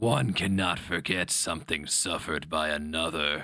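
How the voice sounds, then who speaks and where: A man puts on a raspy character voice with a very deep, low pitch. He keeps a moderate pace and fairly even intonation. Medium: read story. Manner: terse, contemptuous.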